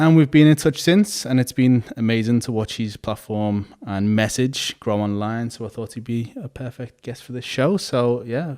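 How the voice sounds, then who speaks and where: A man with a Liverpool accent talks at a moderate pace in a dark, mellow tone. His pitch varies in an ordinary way, while his loudness swings a lot. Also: medium pitch for a man, hardly any pauses. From Liverpool, England. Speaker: podcast host and barber. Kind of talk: podcast interview.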